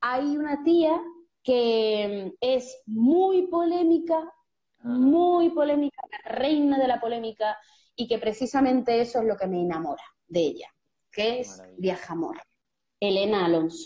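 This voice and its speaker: Speaking in an Andalusian accent, a woman with a high pitch talks at a fairly slow pace in an animated tone. Her pitch swings very widely and her loudness shifts a great deal. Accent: Andalusian Spanish (Seville). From Seville, Andalusia, Spain. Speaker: writer and poet, creative workshop leader. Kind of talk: casual interview conversation.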